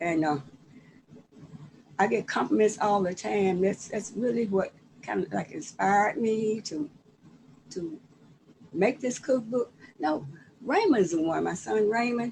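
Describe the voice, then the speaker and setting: The speech moves at a fairly slow pace with lively intonation. Long pauses come often. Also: woman, medium pitch for a woman. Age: 70s. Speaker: cookbook author. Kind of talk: casual chat. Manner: halting.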